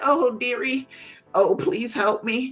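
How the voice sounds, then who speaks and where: Faint music plays in the background behind a put-on character voice pitched fairly high. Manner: pleading, frail.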